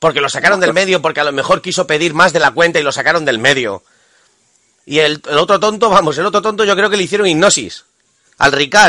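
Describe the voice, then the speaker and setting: Bright, sharp and animated, a man talks at a very fast pace and high pitch with ordinary pitch variation. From Spain. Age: 40s. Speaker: guest commentator. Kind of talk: interview.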